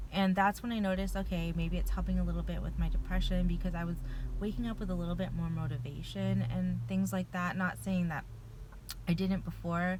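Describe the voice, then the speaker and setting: Noticeable background noise and audible room echo surround a woman who talks at a fairly quick pace. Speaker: vlogger sharing personal medication experience. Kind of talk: casual personal vlog. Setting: in a car. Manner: fast.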